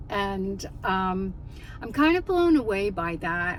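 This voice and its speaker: Amid noticeable background noise and audible room echo, a woman talks at a medium pitch. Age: 60s. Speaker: life coach and minister vlogger. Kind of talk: casual personal vlog reflection. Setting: in a car in a parking lot. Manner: hesitant with frequent fillers.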